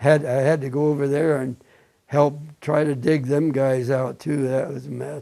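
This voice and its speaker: At a fairly slow pace, a man with a Midwestern American accent speaks at a fairly high pitch in a dark, mellow tone with fairly even intonation. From Indiana. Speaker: war veteran. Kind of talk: oral history interview. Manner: halting.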